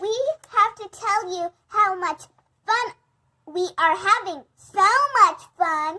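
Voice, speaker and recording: A squeaky, put-on character voice at a fairly slow pace, with long, frequent pauses. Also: woman, extremely high pitch for a woman. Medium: read story.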